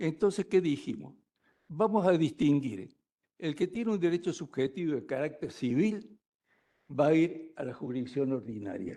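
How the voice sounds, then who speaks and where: Moderately paced, a man's fairly high voice has a dark, mellow tone and very wide pitch swings. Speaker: law professor. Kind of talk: lecture. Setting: lecture hall with live audience.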